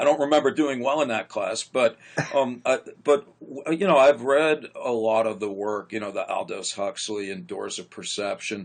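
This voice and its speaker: An ordinary speaking voice at a moderate pace, lively intonation and big swings in loudness. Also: man, fairly high pitch for a man. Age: 60s. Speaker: psychologist. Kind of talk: interview conversation.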